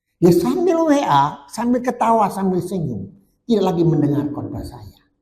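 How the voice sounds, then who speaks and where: A man's dark, mellow tone comes at a moderate pace, with audible room echo. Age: 70s. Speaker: pastor. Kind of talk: sermon.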